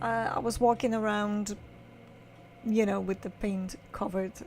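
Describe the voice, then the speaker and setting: A woman's somewhat breathy voice with ordinary pitch variation, at a fairly slow pace. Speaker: photographer. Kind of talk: casual vlog explanation. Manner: halting, many fillers.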